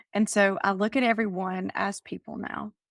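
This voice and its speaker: In a Southern US accent, the speaker uses fairly even intonation, captured dry and close with no echo on a very clean recording with a silent background. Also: woman. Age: 50s. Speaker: life coach and author. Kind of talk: interview.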